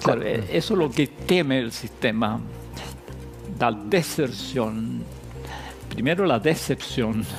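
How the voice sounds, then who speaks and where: Over background music, a medium-pitched man speaks at a very slow pace with very wide pitch swings and long, frequent pauses. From Chile. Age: 80s+. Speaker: philosopher and professor. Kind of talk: TV interview answer.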